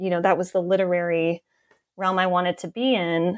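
A woman speaks at medium pitch and a moderate pace. Her recording is very clean, with a silent background. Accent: New York State. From upstate New York (Southern Tier). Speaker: professor and author. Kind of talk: interview.

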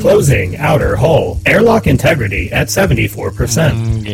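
A man does a put-on character voice over loud background noise. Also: fairly slow pace.

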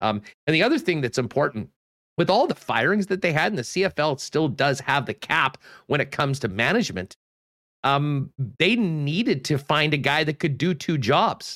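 A man with a Canadian accent speaks at a fairly high pitch and a moderate pace with lively intonation, in an ordinary speaking voice, with a dry, close sound and no echo. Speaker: sports podcast host. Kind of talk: casual sports talk show. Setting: video call. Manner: upbeat.

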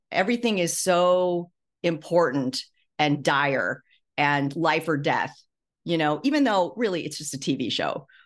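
A woman with an unremarkable speaking voice talks at a fairly slow pace in a fairly low pitch. Her intonation is lively against a quiet background. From US Midwest. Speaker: former TV writer and memoirist. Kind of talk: interview.

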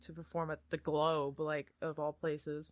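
In a quiet setting, a woman with a fairly low voice and an American accent talks at a moderate pace in a flat, monotone delivery. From Iowa, US. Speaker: actor and casting person. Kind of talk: casual chat. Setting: video call.

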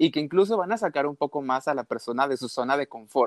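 With a Mexican accent, a man speaks at a moderate pace with lively intonation. The sound is dry and close with no echo. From Mexico. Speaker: habits coach. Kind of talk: casual interview.

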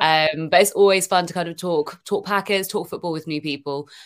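Fairly low in pitch, a woman speaks with a British accent at a fairly quick pace. The recording is very clean, with a silent background. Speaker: football social media creator. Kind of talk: casual chat.

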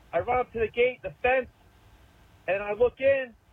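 A man with an American accent and very wide pitch swings, over noticeable background noise. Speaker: caller. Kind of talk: recorded voicemail call-in. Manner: animated.

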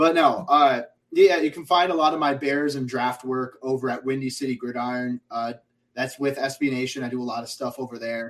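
This man has an unremarkable speaking voice and talks at a fairly quick pace, his medium pitch paired with fairly even intonation. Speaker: football writer and draft analyst. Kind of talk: casual sports chat.

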